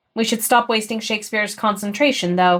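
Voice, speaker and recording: Putting on a character voice, a woman speaks fairly quickly at a fairly high pitch. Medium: read story. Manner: sarcastic.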